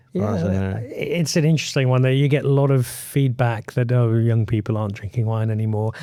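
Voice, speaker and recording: A man talks at a fairly quick pace with hardly any pauses, in a plain, everyday voice. His pitch is medium, with ordinary pitch variation. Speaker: wine podcast host. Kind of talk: podcast interview host.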